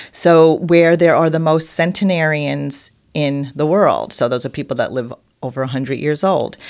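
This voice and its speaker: Recorded very cleanly against a silent background, a woman with a very deep, low pitch speaks at a moderate pace with ordinary pitch variation. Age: 60s. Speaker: podcast co-host. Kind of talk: casual chat.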